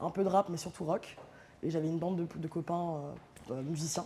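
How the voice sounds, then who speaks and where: At a fairly quick pace, a woman speaks in a fairly low pitch with monotone, flat intonation. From northern France, Amiens. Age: 30s. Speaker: DJ. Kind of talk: casual interview. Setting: studio loft.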